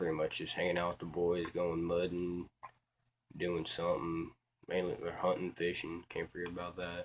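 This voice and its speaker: Quiet and at a moderate pace, a man with an American accent speaks in a very deep, low voice with monotone, flat intonation. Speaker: vlogger. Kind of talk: casual monologue. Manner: halting, many fillers.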